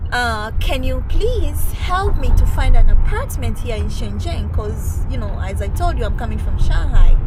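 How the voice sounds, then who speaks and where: A woman with an East African accent speaks at a moderate pace with hardly any pauses. Audible room echo and noticeable background noise fill the recording. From Tanzania. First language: Swahili. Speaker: English teacher. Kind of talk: casual interview storytelling.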